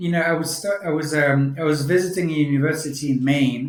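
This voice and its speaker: In a French accent, a man speaks at a moderate pace with fairly high pitch and fairly even intonation. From France. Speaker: senior care tech executive. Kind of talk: podcast interview. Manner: halting, many repetitions.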